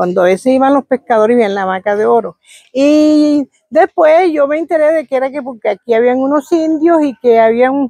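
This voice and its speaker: A woman's high, dark and mellow voice with lively intonation at a moderate pace, in a dry, close sound with no echo. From Caribbean Colombia, Córdoba (Montería area). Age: 70s. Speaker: village elder sharing oral history. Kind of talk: oral history interview. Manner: halting, with repetitions.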